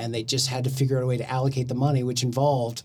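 A man speaks with an American accent at medium pitch. His voice is somewhat breathy. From Oklahoma, Del City. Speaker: podcast guest. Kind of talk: casual chat.

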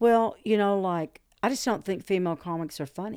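A woman with a Southern US accent talks at a moderate pace with ordinary pitch variation on a very clean recording with a silent background. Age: 60s. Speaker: stand-up comedian. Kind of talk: casual interview conversation.

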